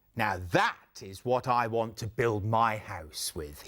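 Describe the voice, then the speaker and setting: At a rather slow speed, someone performs in a put-on character voice. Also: man, medium pitch for a man. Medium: read story.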